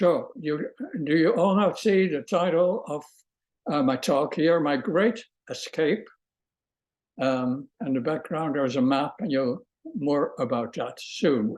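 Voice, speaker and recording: Over a quiet background, a man with a Dutch accent speaks at a fairly slow pace and fairly high pitch, with lively intonation and long, frequent pauses. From Netherlands, The Hague. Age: 80s+. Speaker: Holocaust survivor, retired music professor. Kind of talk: testimony. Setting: video call.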